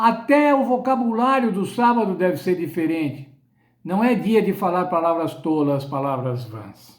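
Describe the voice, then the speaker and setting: The pitch swings very widely. A man is speaking high in his range. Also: fairly slow pace. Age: 70s. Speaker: Bible study teacher. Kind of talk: sermon-style Bible lesson.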